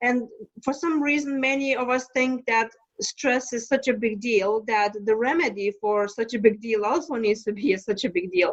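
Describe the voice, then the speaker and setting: In a Lithuanian accent, a woman with a fairly high pitch talks at a moderate pace with ordinary pitch variation. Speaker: stress management coach. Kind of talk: podcast interview. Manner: halting.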